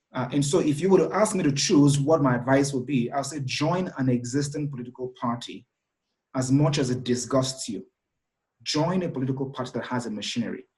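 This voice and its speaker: A man talks at a fairly high pitch, his voice somewhat breathy. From Nigeria. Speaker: executive director and thought leader. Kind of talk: interview.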